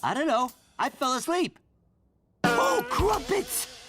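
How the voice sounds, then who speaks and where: A man's cartoonish character voice, extremely high in pitch, at a fairly slow pace. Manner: dopey, cheerful.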